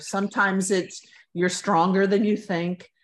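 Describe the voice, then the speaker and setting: A normal speaking voice at a fairly slow pace. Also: woman. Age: 60s. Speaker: former advertising art director, walking advocate. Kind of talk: interview.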